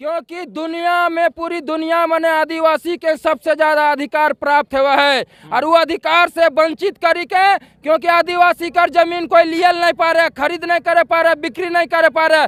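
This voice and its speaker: With hardly any pauses, a man talks in a bright, sharp tone at an extremely high pitch, with fairly even intonation and a dry, close sound that has no echo. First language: Kurmali (speaking Hindi). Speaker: community activist. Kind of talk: interview.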